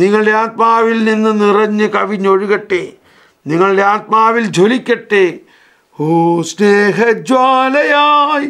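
A man's voice, high in pitch, with a bright, sharp tone and ordinary pitch variation. His loudness stays very even against a quiet background. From Kerala, India. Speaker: priest teacher. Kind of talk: lecture; religious lecture and prayer. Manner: repetitive, emphatic. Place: studio.

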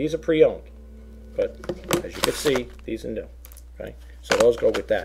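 Speaking at a moderate pace with an American accent, a man makes big swings in loudness and takes long, frequent pauses over noticeable background noise. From New York. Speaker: online reseller. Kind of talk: product showcase video; casual product showing chat. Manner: halting, filler-heavy. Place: home room. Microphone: webcam.

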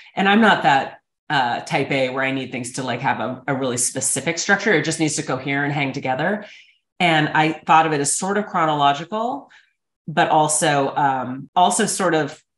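Audible room echo surrounds the speech. The pace is moderate, with ordinary pitch variation. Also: woman. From North Dakota (Fargo); North Dakota. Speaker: author and documentary maker; guest. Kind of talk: casual interview. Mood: thoughtful, earnest. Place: home room. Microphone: video call.

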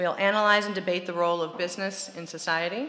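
Fairly quick delivery with fairly even intonation. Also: woman. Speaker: event host opening session. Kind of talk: formal opening speech. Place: hall. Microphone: podium.

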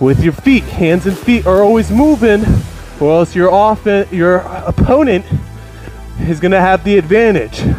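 Faint music plays in the background while the speech moves at a moderate pace with long, frequent pauses. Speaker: wrestling coach. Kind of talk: workout instruction. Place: home room. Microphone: headset.

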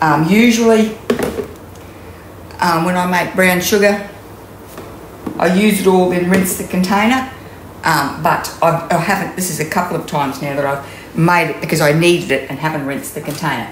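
A woman's fairly low-pitched voice at a moderate pace, ordinary pitch variation, long and frequent pauses, audible room echo and light background noise. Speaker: cooking demonstrator. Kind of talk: tutorial. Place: kitchen. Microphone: camera far.

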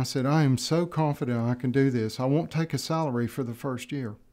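A man with an American accent speaks at a fairly quick pace in a dark, mellow tone, with fairly even intonation and a quiet background. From United States. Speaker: tech company founder and CEO. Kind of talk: interview. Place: studio. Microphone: studio mic.

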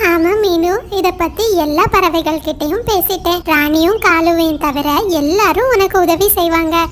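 A female-sounding cartoonish character voice, pitched extremely high, moves at a fairly slow pace over clear background noise. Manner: warm, caring.

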